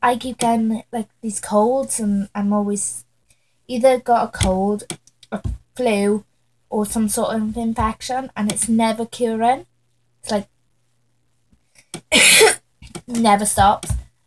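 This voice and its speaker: Over light background noise, a woman speaks at a very slow pace in a somewhat breathy, monotone, flat voice, leaving long, frequent pauses. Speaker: vlogger. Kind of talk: casual vlog chat. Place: home room. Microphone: webcam.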